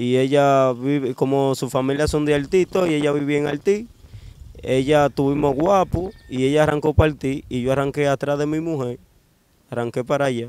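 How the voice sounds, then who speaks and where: A man talks in an ordinary speaking voice at a fairly high pitch, with fairly even intonation. The sound is dry with no echo. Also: moderate pace. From Dominican Republic, Cibao (Bonao); Cibao, Dominican Republic. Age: 20s. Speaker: kidnapping survivor; interviewee. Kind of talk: interview testimony. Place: street. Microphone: handheld.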